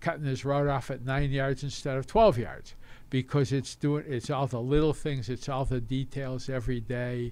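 Here is a man with a normal speaking voice and a medium pitch. He keeps a moderate pace and fairly even intonation. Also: very clean recording, silent background. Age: 60s. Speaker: retired football team executive. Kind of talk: casual interview.

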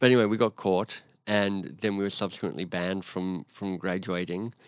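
Fairly low male speech, moderately paced, its intonation fairly even. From Australia, Canberra. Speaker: author and leadership coach. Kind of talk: podcast interview. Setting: in person.

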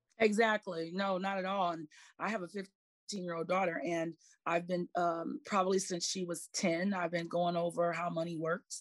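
A woman's unremarkable speaking voice, fairly low in pitch, at a moderate pace, dry and close with no echo, on a very clean recording with a silent background. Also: fairly even intonation. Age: 40s. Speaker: financial professional. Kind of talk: casual chat.

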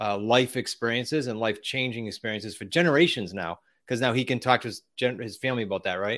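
With a Boston accent, a man at a medium pitch talks at a very fast pace in fairly even intonation. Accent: Boston-area New England. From Massachusetts, US. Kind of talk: interview, casual chat.

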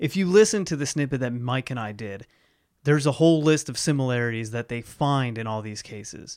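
This man has a plain, everyday voice at medium pitch, talking at a fairly quick pace with lively intonation and big swings in loudness on a very clean recording with a silent background. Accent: American. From Ohio, US Midwest. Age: 30s. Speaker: podcast host. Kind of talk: casual chat.

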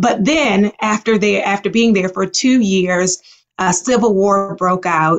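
A woman with an unremarkable speaking voice talks fairly slowly at a medium pitch, with ordinary pitch variation and very even loudness. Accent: American. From US, Baltimore. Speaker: psychologist. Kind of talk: interview.

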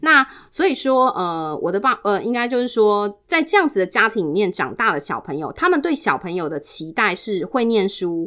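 Loud and animated, a woman speaks with hardly any pauses at a moderate pace, her fairly high voice bright and sharp in tone and swinging very widely in pitch, on a very clean recording with a silent background. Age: 40s. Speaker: guest sharing life story. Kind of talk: personal testimony. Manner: animated, frequent loud laughter.

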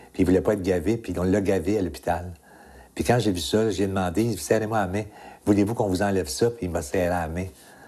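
A very fast-talking man with a very deep, low pitch. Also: fairly even intonation, quiet background. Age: 60s. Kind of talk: interview.

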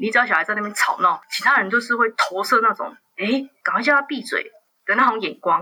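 Fairly high-pitched, a woman talks in a plain, everyday voice. She moves at a fairly quick pace with lively intonation. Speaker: journalist. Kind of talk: interview.

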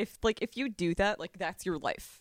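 A woman with an unremarkable speaking voice talks at a fairly slow pace with ordinary pitch variation, in a dry, close sound with no echo. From Long Island, New York. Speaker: adult performer. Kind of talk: casual chat. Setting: in a house in upstate New York.

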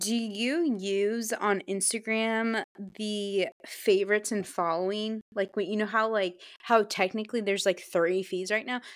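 Heard in a very clean recording with a silent background, a woman with a normal speaking voice talks at a fairly slow pace with hardly any pauses. Her pitch is fairly high and her intonation fairly even. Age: 20s. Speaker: podcast co-host, social media manager. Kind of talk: casual chat.

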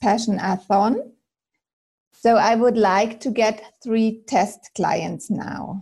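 Speaking at a very slow pace, a woman with a German accent has a fairly high, somewhat breathy voice. Her tone is dark and mellow. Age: 40s. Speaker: aspiring personal style coach. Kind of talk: coaching call.

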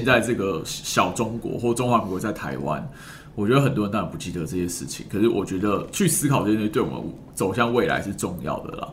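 There is noticeable background noise as a man talks at a very fast pace. His fairly low voice has lively intonation. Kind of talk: casual podcast conversation. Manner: animated, talkative.

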